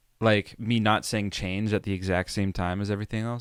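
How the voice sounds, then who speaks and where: A man with an ordinary speaking voice talks at a fairly low pitch. The sound is dry and close, without echo. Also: very clean recording, silent background. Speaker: musician and producer explaining own song. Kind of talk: tutorial. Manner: casual.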